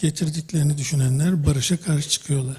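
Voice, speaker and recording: A man's fairly high voice rushes along at a very fast pace with fairly even intonation. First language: Turkish. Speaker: audience member. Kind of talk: post-show discussion.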